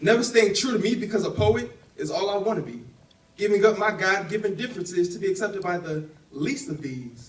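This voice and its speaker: A man's high, lively voice at a fairly quick pace, with audible room echo and noticeable background noise. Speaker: spoken word poet. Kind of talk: spoken word performance; casual stage talk. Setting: stage with audience. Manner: fast; rhythmic.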